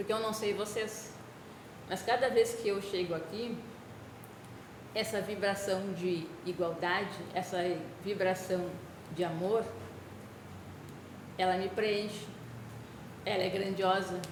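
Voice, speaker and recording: Soft-spoken and very slow, a woman talks at medium pitch in a monotone, flat delivery with long, frequent pauses. Room echo is audible and background noise is noticeable. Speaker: spiritist lecturer. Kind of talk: spiritual talk. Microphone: poor speaker output, hard to hear.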